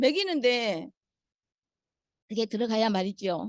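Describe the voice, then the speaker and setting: A woman is speaking. Her pitch swings very widely. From Suncheon, South Jeolla, Korea. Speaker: Parkinson's patient. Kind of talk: testimony.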